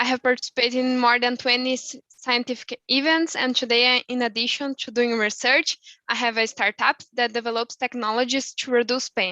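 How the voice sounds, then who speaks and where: A woman speaks at a fairly quick pace, barely pausing, her pitch high for a woman. Her tone is bright and sharp, her intonation flat and monotone, and the sound is dry and close with no echo. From southern Brazil. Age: 20s. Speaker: student researcher. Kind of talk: self-introduction.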